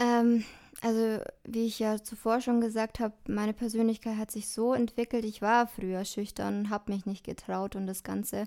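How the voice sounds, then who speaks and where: A dark, mellow tone at a moderate pace, with monotone, flat intonation, in a very clean recording over a silent background. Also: woman, fairly high pitch for a woman. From Germany, Dillingen. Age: 20s. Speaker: educator and social work student. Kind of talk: interview.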